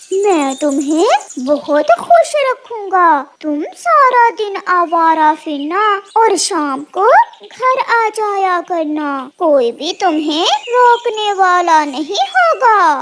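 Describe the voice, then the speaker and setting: A cartoonish character voice, extremely high in pitch, crawls along at a very slow pace. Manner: smooth then menacing.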